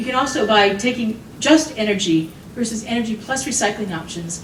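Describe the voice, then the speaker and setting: A woman with an American accent is heard with audible room echo and noticeable background noise. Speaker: economist and consultant. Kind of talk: conference talk. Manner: fast.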